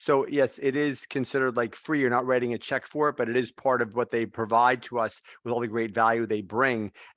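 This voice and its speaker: Hardly pausing, a man talks at a fairly quick pace in a medium pitch with fairly even intonation, the sound dry and close with no echo against a quiet background. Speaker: real estate trainer. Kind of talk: online workshop discussion. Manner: fast.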